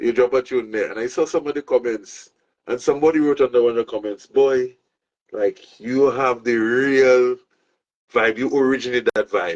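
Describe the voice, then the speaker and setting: A man speaks at medium pitch and a moderate pace. His intonation is fairly even, and the sound is dry and close with no echo. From Saint Lucia. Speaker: show host. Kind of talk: casual interview chat. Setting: outdoors by a pool.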